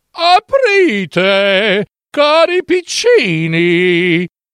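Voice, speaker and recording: A put-on character voice with a fairly high pitch moves along at a very slow pace. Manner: coaxing, feigning kindness.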